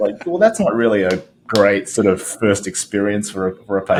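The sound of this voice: An Australian-accented man at a moderate pace.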